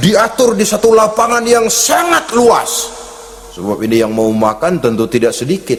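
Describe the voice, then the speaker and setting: Noticeable background noise sits behind a man talking at a fairly slow pace. His pitch is high. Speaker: Islamic preacher. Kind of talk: religious sermon.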